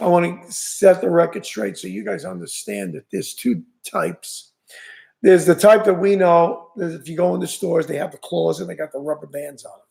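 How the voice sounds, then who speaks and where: A New York accent at a fairly quick pace, with big swings in loudness. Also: man. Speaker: fishing channel host. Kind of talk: live stream chat. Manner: casual, halting.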